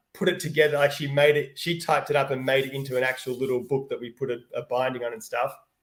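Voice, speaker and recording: An animated man with an Australian accent. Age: 50s. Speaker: children's book author. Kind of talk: live Q&A.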